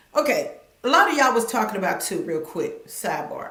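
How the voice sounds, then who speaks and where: A woman talks in an animated tone over noticeable background noise, with audible room echo. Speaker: commentary YouTuber. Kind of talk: live stream commentary. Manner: fast.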